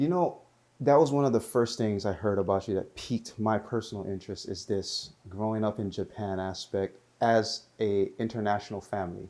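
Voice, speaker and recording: In a very clean recording with a silent background, a man speaks with a fairly low pitch, ordinary pitch variation and a dark, mellow tone. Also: moderate pace. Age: 40s. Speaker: podcast host. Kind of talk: interview.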